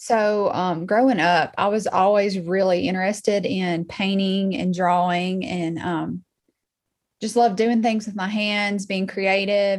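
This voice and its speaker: A woman's medium-pitched voice with a Southern US accent, fairly even intonation and a fairly slow pace. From Alabama (Muscle Shoals). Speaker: artist and interior designer. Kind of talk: casual interview.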